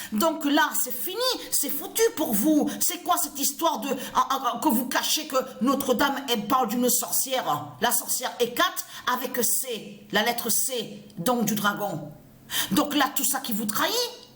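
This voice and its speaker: A woman's high-pitched voice comes through with noticeable background noise behind it. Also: lively intonation, fairly slow pace. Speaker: religious video blogger. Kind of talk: ranting monologue. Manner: halting, repetitive stammering.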